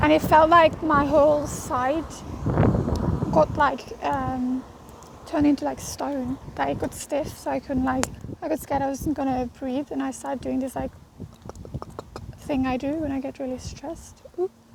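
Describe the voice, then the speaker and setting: A woman speaks at a moderate pace in a high voice, with fairly even intonation. Her pauses are long and frequent, and there is noticeable background noise. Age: 20s. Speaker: vlogger with agoraphobia. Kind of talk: vlog. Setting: outdoors on a walk. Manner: halting.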